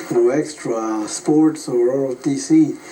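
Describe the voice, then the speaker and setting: Noticeable background noise sits under a man's fairly high voice. He keeps his intonation fairly even. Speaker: war veteran. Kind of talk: interview. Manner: halting.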